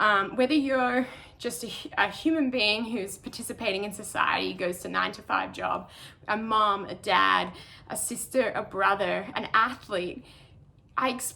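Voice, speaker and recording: Speaking at a fairly slow pace with an Australian accent, a woman uses a fairly high pitch and a bright, sharp tone with vocal fry and ordinary pitch variation. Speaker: professional trail runner. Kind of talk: online talk.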